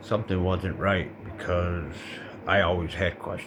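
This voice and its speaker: A man with an American accent speaks at a very deep, low pitch. Audible room echo and noticeable background noise surround him. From Colorado. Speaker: vlogger. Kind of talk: personal monologue. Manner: halting; casual.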